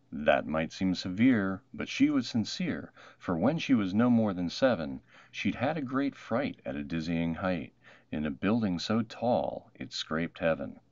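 A man's low-pitched, slightly mellow voice at a fairly slow pace, full of big pitch swings.

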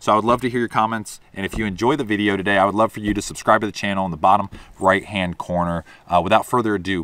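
A man with a plain, everyday voice talks at a fairly low pitch with ordinary pitch variation, the sound dry with no echo. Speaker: fishing content creator. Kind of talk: casual vlog chat. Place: open country.

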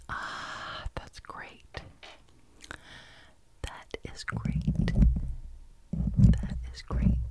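Whispering at a very slow pace, a woman speaks quietly in a soothing tone over light background noise. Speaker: ASMR creator. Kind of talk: soft ASMR whisper chat. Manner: quiet, soothing near-whisper. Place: home room. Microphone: studio mic.

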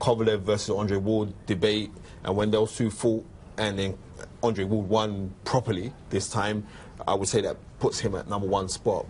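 With a British accent, a man talks at a moderate pace in a fairly low pitch. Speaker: boxing pundit. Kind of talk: casual chat. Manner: animated.

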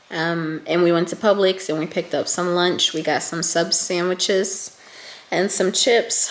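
In a room with audible echo, a raspy woman talks at a fairly slow pace with fairly low pitch and fairly even intonation.

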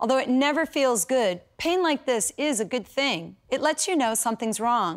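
A woman speaks at a fairly slow pace with a high pitch and very wide pitch swings. The background is quiet. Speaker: program host, method creator. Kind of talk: infomercial presentation. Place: studio. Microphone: lapel.

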